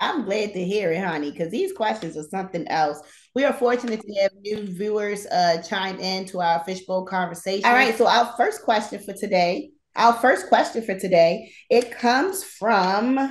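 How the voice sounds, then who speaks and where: Audible room echo surrounds this recording. A woman talks at a moderate pace. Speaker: talk show host. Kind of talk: casual talk show chat. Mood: playful, laughing. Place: home room. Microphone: phone near.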